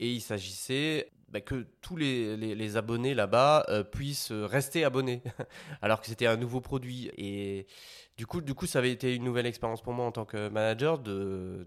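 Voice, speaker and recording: In a very clean recording with a silent background, a man talks at a medium pitch and a moderate pace with ordinary pitch variation. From Belgium. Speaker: sales manager. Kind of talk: interview. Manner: halting, many fillers and repetitions.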